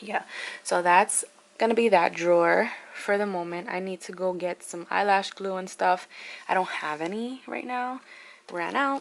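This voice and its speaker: A woman with an unremarkable speaking voice speaks at a moderate pace and medium pitch, with ordinary pitch variation and big swings in loudness. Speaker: beauty and lifestyle vlogger. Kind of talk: casual vlog talk. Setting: at home, sitting on the floor.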